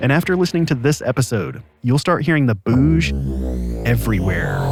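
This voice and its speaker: A man's medium-pitched voice at a moderate pace, with very wide pitch swings and very even loudness, over music in the background. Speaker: podcast host. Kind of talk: podcast narration.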